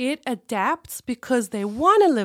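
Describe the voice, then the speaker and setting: A woman with a high voice talks at a fairly slow pace, the sound dry and close with no echo. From South Africa. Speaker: somatic therapist. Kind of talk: testimony.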